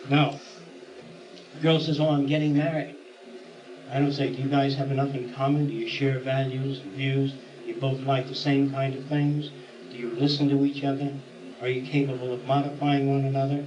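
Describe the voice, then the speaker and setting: The speech moves at a fairly quick pace in a flat, monotone delivery, broken by long, frequent pauses. Room echo is audible, and background noise is noticeable. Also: man, fairly high pitch for a man. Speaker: lecturer. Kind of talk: lecture. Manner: fast.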